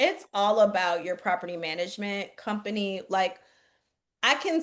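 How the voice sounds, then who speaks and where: A woman with a Southern US accent speaks in an animated tone at a moderate pace over a quiet background. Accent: country accent, picked up from the South. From Chicago. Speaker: real estate investing coach. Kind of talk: webinar Q&A. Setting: video call.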